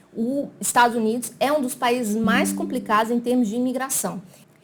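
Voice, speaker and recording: The speaker is a woman. Her pitch is high. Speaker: immigration consultant. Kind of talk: explainer video. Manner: casual, conversational.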